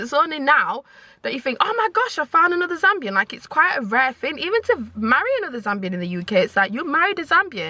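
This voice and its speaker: With a Yorkshire accent, a woman talks at a very fast pace in a raised, projected voice, her tone bright and sharp and her pitch swinging very widely. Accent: Northern English (Yorkshire). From Leeds, northern England. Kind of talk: casual talk to camera.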